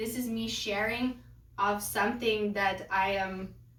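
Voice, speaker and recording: A woman speaks with a Lithuanian accent at a fairly high pitch. Her intonation is lively, and audible room echo surrounds her. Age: 30s. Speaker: lifestyle vlogger. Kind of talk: casual vlog talk.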